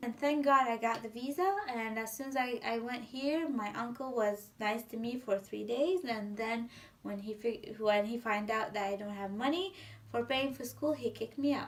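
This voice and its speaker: This voice moves at a moderate pace with ordinary pitch variation, heard against noticeable background noise. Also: woman, fairly high pitch for a woman. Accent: Syrian. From Syria. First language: Arabic. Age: 20s. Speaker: civil engineer. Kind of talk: interview answer.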